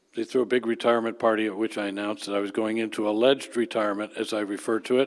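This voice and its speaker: Talking at a very fast pace, a man keeps a flat, monotone delivery at a medium pitch. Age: 70s. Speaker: retired planner, consultant. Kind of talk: panel discussion.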